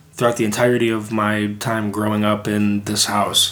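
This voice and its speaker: Amid noticeable background noise and audible room echo, a man talks at a moderate pace with a fairly low pitch. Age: 20s. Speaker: podcast co-host. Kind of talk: casual chat.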